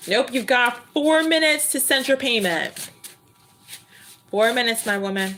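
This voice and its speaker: A woman's high voice with lively intonation at a moderate pace, with long, frequent pauses. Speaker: tarot reader. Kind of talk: live stream tarot reading chat. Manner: high-pitched; loud.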